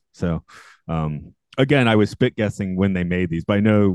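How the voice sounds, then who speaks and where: A man with a very deep, low pitch speaks with lively intonation. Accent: American. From US South. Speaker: podcast host. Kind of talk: casual chat. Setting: video call.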